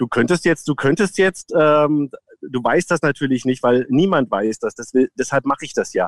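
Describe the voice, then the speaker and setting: A man with a southern German accent talks at a fairly slow pace. His fairly high voice has a dry, close sound with no echo. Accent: southern German sounding. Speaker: voice imitator. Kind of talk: casual chat.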